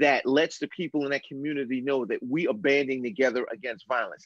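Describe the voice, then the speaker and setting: In an unremarkable speaking voice, a man talks at a fairly high pitch with ordinary pitch variation and an American accent. The sound is dry and close, with no echo. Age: 50s. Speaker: retired police lieutenant, criminal justice expert. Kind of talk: casual chat. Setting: video call.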